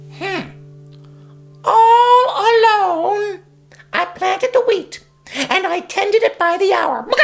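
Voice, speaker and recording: A squeaky, put-on character voice at an extremely high pitch speaks at a fairly slow pace while faint music plays in the background. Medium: read story.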